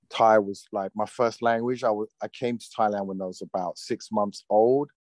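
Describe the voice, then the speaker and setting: Big swings in loudness mark this moderately paced delivery with a British accent, fairly even intonation, and a dry, close sound with no echo. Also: man, fairly low pitch for a man. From London, England. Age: 40s. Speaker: actor. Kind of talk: interview. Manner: halting, many fillers.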